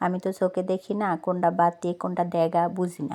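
The speaker is a woman. Her voice is medium in pitch. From Noakhali, Bangladesh. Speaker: vlogger. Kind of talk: vlog narration.

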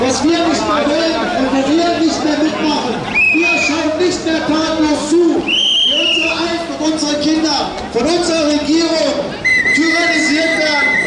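Crowd noise fills the background and the room echo is audible as the speech goes at a moderate pace. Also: man. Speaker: speaker. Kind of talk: rally speech. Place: street.

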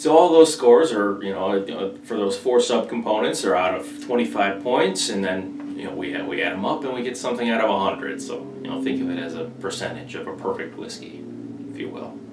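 Noticeable background noise sits under a man speaking at a fairly quick pace. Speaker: whiskey reviewer. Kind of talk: casual review talk to camera. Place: home room.

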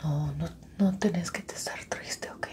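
The speaker is a woman, and she whispers. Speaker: ASMR creator. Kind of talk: soft-spoken ASMR roleplay. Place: home room.

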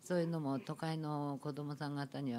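A woman with a dark, mellow tone speaks at a moderate pace over light background noise. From Japan, not originally Ishikawa; Japan. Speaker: ryokan proprietress; panel discussant. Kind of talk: panel discussion. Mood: polite, gentle. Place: meeting room. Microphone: podium.

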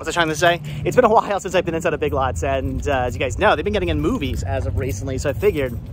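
Very fast speech with a dry sound with no echo and noticeable background noise. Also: man. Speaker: vlogger. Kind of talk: casual vlog chat. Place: street. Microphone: phone near.

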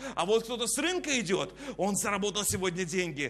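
A man speaks in a raised, projected voice at a moderate pace, his tone animated and his intonation lively. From Kazakhstan. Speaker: preacher. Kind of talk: sermon. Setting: church. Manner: preacherly, exhorting. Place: studio. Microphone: lapel.

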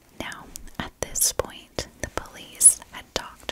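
A woman talks at a very slow pace while loud noise fills the background. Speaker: true crime storyteller. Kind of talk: true crime narration. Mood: calm, serious. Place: home room. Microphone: studio mic.

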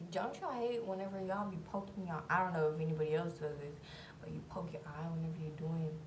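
A woman speaks with a very deep, low pitch. Noticeable background noise can be heard. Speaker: beauty vlogger. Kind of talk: casual get-ready-with-me vlog chat. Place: bathroom. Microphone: phone near.

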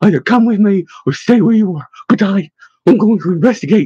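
A put-on character voice from a man, high-pitched, dark and mellow with a husky, rough edge, lively intonation and a fairly quick pace

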